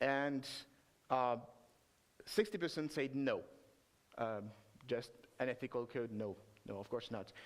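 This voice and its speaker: With a French accent, a man speaks at a fairly slow pace, leaving long, frequent pauses. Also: medium pitch for a man, ordinary pitch variation. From France. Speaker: software developer, conference speaker. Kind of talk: conference talk. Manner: halting, many filler sounds.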